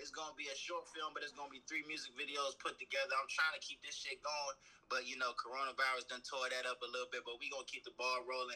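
Talking at a very fast pace, a man leaves hardly any pauses. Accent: American. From Maryland. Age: 20s. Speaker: rapper. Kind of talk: casual interview.

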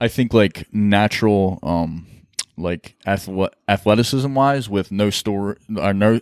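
With a dry, close sound and no echo, a man with an unremarkable speaking voice talks fairly slowly at a fairly low pitch. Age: 20s. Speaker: jiu-jitsu athlete. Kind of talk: casual chat.

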